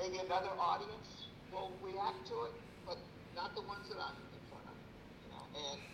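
A high-pitched man at a moderate pace, with ordinary pitch variation, big swings in loudness and long, frequent pauses, over noticeable background noise. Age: 60s. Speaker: comedian and former consultant. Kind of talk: casual interview.

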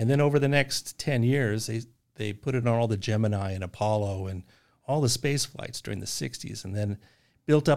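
Here is an unremarkable speaking voice from a man, medium in pitch with ordinary pitch variation. He talks at a fairly quick pace on a very clean recording with a silent background. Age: 60s. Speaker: business owner. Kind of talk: casual chat.

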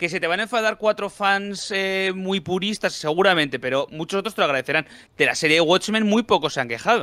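A man projects his raised voice at a high pitch, with a bright, sharp tone and ordinary pitch variation. He talks at a fairly quick pace in a very clean, silent recording with a dry, close sound and no echo. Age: older than 29. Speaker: film and comics commentator. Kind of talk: casual chat.

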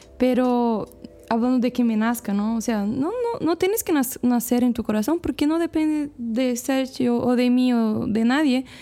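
With music in the background, a woman speaks in a Portuguese accent at a high pitch and a fairly slow pace. Her loudness stays very even, with ordinary pitch variation. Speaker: missionary. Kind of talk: casual chat.

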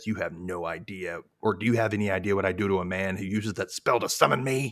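Using a put-on character voice, a man speaks at a very fast pace with fairly low pitch, on a very clean recording with a silent background. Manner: menacing.

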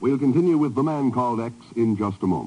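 Fast speech with big pitch swings comes in a dark, mellow tone marked by vocal fry and a slightly husky edge. Faint music plays in the background. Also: man.

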